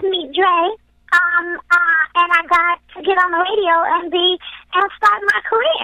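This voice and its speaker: Over music in the background, the speaker goes at a moderate pace with long, frequent pauses and ordinary pitch variation. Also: woman, extremely high pitch for a woman. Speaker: singer. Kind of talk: interview answer.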